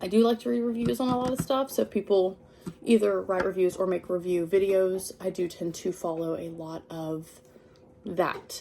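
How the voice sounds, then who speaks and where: At a moderate pace, a woman uses lively intonation, her medium-pitched voice dark and mellow in tone. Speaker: crochet hobby vlogger. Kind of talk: casual unboxing vlog. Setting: at home in living room. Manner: filler words like um.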